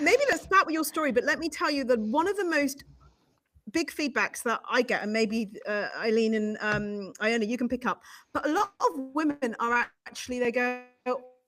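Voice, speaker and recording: With a British accent, the speaker talks at a moderate pace and ordinary pitch variation while music plays in the background. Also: woman. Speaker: live show host. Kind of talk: live broadcast interview.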